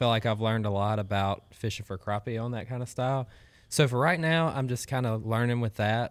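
With a Southern US accent, a man talks at a fairly quick pace with ordinary pitch variation, recorded very cleanly against a silent background. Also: medium pitch for a man. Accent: US South. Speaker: collegiate angler. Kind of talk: casual chat.

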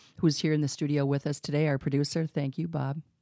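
A woman is heard in a very clean recording with a silent background. The sound is dry and close with no echo. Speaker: podcast host and exit planning advisor. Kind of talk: casual chat. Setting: studio.

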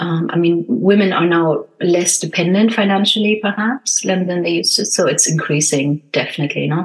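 Here is a woman with an unremarkable speaking voice and a fairly low pitch. She keeps a moderate pace with hardly any pauses and ordinary pitch variation. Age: 50s. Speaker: mindset and success coach, podcast host. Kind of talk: casual interview chat. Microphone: not her usual mic, worse sound.

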